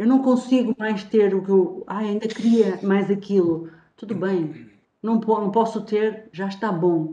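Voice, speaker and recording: At a very slow pace, a woman speaks in a dark, mellow tone with ordinary pitch variation. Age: 50s. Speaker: TV talk show co-host. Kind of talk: TV panel discussion.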